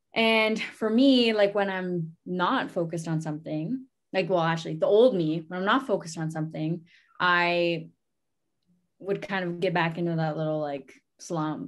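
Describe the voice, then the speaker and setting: Against a quiet background, a woman with a Canadian accent and an ordinary speaking voice talks in a fairly low pitch with ordinary pitch variation. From Ontario, Canada (Sarnia, First Nations reserve). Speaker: amateur boxer. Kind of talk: interview.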